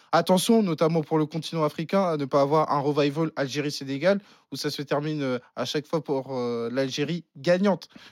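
Recorded with a dry, close sound and no echo, a man with a plain, everyday voice and fairly high pitch speaks at a moderate pace with ordinary pitch variation. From France, partly raised in the Netherlands. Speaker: football pundit. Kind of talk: casual chat.

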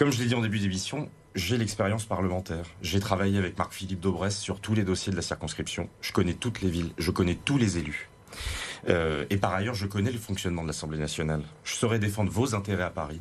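This man's fairly low voice races at a very fast pace, with ordinary pitch variation. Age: 30s. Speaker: parliamentary candidate. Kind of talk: televised political debate.

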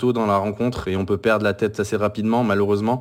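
A fairly low-pitched male voice, flat and monotone, at a very fast pace. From France. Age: 30s. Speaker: football fan podcaster. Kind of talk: casual chat. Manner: halting.

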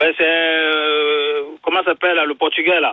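A man's fairly high voice at a moderate pace, with little pitch movement and a dry, close sound with no echo

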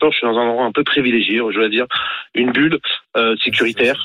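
A man speaks at medium pitch. His intonation stays fairly even. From Paris region, Ivry. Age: 40s. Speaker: radio caller, father. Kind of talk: call-in debate.

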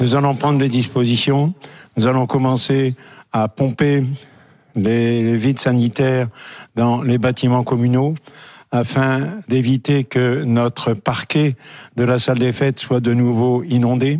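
A very slow delivery with long, frequent pauses and fairly even intonation, in a dry, close sound with no echo and a quiet background. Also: man, medium pitch for a man, very even loudness. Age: 80s+. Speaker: village mayor. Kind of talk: live TV interview. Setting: live remote link.

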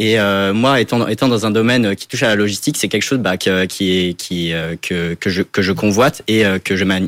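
On a very clean recording with a silent background, a man with a fairly low pitch talks at a fairly quick pace with ordinary pitch variation. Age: 20s. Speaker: engineering student. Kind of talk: interview. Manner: halting.

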